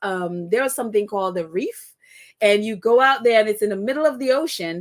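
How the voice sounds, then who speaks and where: This woman speaks with a Trinidadian accent. Her pitch is fairly high. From Trinidad and Tobago (Tobago). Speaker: live-stream podcast host. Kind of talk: casual live-stream chat.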